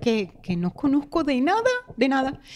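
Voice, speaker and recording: High-pitched female voice, moderate pace. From Venezuela. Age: 40s. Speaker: guest sharing near-death experience; guest. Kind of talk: personal testimony; interview answer. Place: studio. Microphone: studio mic.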